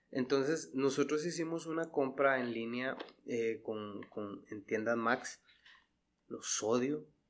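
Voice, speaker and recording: A man with a medium pitch delivers his words at a very slow pace. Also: ordinary pitch variation. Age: 30s. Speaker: podcast host. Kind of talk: casual chat. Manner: animated.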